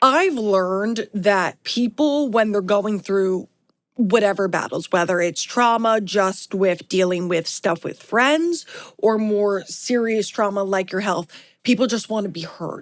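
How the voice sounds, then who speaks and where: A woman with a New York accent at a fairly slow pace. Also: medium pitch for a woman, ordinary pitch variation. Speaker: podcast host. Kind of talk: interview.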